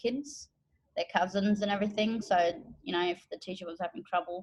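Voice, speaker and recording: Her voice is somewhat breathy. The woman's intonation stays fairly even. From Northern Territory, Australia (Darwin, then Jilkminggan). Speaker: multilingual educator and interpreter. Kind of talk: personal account interview. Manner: casual, hesitant with fillers.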